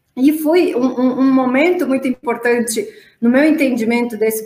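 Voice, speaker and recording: A woman with a Romanian accent speaks at a fairly slow pace in a fairly high pitch. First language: Romanian (speaking Portuguese). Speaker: marketing executive. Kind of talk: panel discussion. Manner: halting.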